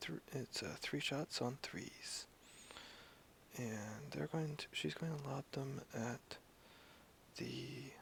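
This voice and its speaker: A very slow whisper, broken by long, frequent pauses. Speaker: tabletop wargame player. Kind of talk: casual chat during game. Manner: whispering.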